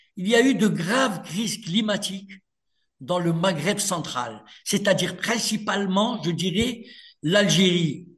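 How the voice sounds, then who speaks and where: High-pitched male voice, fairly slow with long, frequent pauses, ordinary pitch variation, in audible room echo. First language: Berber (speaking French). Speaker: author and lawyer. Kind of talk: radio interview.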